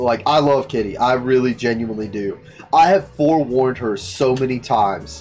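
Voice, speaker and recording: Faint music sits in the background as a man talks at a moderate pace. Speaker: streamer reacting to a story. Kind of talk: casual commentary.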